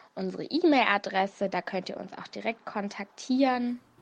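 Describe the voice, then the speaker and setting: Quiet background behind a woman with a normal speaking voice. Her pitch is fairly high, with ordinary variation, and she speaks at a fairly slow pace. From Hannover, Germany. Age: young. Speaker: student and volunteer. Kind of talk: recorded statement.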